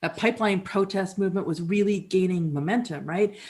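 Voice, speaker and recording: A woman speaks in a somewhat breathy voice. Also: very clean recording, silent background. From Canada (Alberta). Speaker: musician and performer. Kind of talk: dramatic reading, storytelling monologue. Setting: live performance in an apartment.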